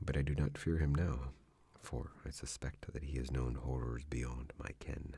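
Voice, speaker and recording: A soft-spoken man talks at a very slow pace with a very deep, low pitch and vocal fry. His tone is dark and mellow, and his intonation fairly even. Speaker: ASMR narrator. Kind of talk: soft-spoken scary story reading.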